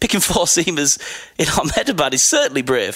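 Over noticeable background noise, a man speaks at a fairly quick pace in a high pitch, with very wide pitch swings. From northern England. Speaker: cricket journalist. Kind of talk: casual interview chat. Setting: Melbourne, in person.

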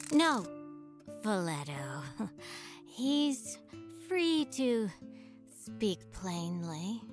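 A female-sounding voice does a put-on character voice at a fairly low pitch, with clear music in the background. The delivery is very slow, with long, frequent pauses. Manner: cool, condescending.

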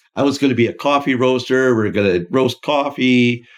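The speech runs at a moderate speed. It is a normal speaking voice, and its pitch varies in an ordinary way. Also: man. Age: 60s. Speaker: franchise founder and podcast co-host. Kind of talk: casual chat. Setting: office.

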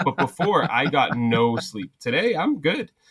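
This man has an unremarkable speaking voice at medium pitch with lively intonation. The recording is very clean with a silent background, dry and close with no echo. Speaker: social media content creator and bar owner. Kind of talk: casual chat.

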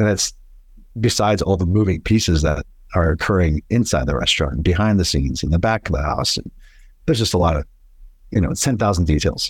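A man speaks very fast in a very deep, low voice with lively intonation. His voice is somewhat breathy. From Boston, Massachusetts (born in Italy). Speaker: restaurant owner. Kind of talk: interview conversation.

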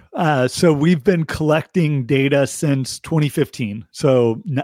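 In a very clean recording with a silent background and a dry, close sound with no echo, a man uses a plain, everyday voice with a fairly high pitch and ordinary pitch variation. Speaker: economist guest. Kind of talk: casual interview chat.

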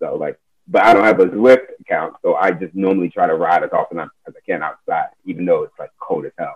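Speaking at a fairly quick clip with hardly any pauses, a man swings widely in loudness, his sound dry and close with no echo. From United States, child of immigrants. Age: 30s. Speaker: community cycling organizer. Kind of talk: casual interview.

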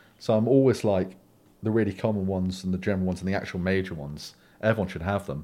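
A man with a South London accent has a very deep, low pitch and a dark, mellow tone, with ordinary pitch variation. He talks at a very fast pace on a very clean recording with a silent background. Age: 20s. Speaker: dating podcast guest. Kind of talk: casual interview.

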